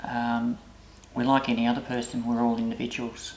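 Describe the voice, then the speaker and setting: At a moderate pace, a speaker with an Australian accent talks while noticeable background noise runs underneath. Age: old. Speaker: intersex elder, community member. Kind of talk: explanatory interview. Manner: halting, many fillers.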